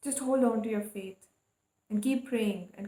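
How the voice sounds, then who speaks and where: In a calm tone, a woman speaks at a fairly slow pace, her fairly high pitch held in fairly even intonation. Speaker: tarot reader. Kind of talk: tarot reading monologue.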